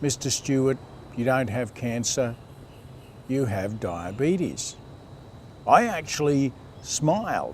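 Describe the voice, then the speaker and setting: A man's speech at a very slow pace. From Australia, Sydney area (La Perouse). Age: 60s. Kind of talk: personal testimony. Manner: measured, with hesitations.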